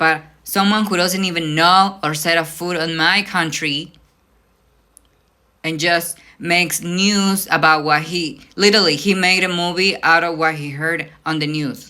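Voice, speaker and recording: A woman's fairly low voice with a bright, sharp tone at a fairly slow pace. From Mexico, Veracruz. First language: Spanish. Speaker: vlogger. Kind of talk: casual rant. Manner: animated.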